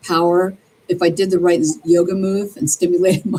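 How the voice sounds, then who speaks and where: Speaking at a fairly quick pace in an American accent, a woman has a dark, mellow tone, a fairly low pitch and fairly even intonation. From New Jersey (Atlantic City). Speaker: interview guest. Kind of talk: interview. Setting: live stream.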